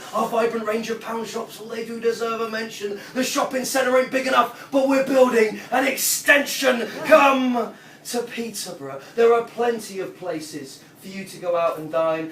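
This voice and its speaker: A man's extremely high voice with lively intonation and big swings in loudness, over noticeable background noise. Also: moderate pace. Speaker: performance poet; former English teacher. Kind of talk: spoken word poetry performance. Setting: live audience at a pub venue.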